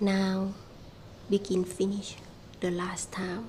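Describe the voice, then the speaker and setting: Someone with a Thai accent speaks at a very slow pace over noticeable background noise. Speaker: small farmer and vlogger. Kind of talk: casual vlog narration. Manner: halting.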